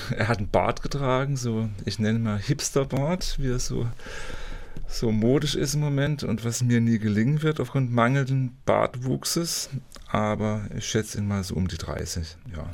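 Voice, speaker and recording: An ordinary speaking voice at a moderate pace. Pitch moves with ordinary variation. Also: man, medium pitch for a man. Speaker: culture reporter, podcast co-host. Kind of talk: casual interview chat. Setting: recording studio at a music college.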